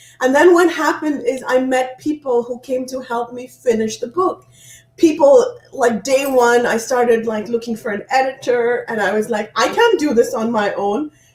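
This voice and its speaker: Over noticeable background noise, a woman talks at a moderate pace in a high voice with ordinary pitch variation. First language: not English, not French. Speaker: author and inspirational speaker. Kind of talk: interview.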